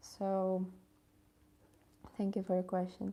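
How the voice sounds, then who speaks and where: A woman with a Ukrainian accent speaks in a dark, mellow tone. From Ukraine. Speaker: English tutor and philology student. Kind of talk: live stream talk. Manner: halting, many fillers.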